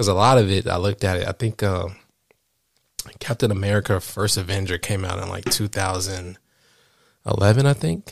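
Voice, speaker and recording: A somewhat breathy man talks at a fairly quick pace with fairly even intonation but long, frequent pauses, on a very clean recording with a silent background. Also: fairly low pitch for a man. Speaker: podcast co-host, college student. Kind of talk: casual chat between partners. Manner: calm, relaxed.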